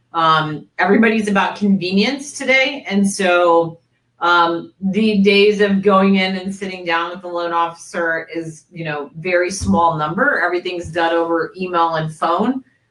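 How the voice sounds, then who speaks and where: A woman speaks in a normal speaking voice at a fairly low pitch and a moderate pace. Her pitch variation is ordinary, and she leaves hardly any pauses. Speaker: mortgage industry presenter. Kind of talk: webinar presentation. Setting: online webinar.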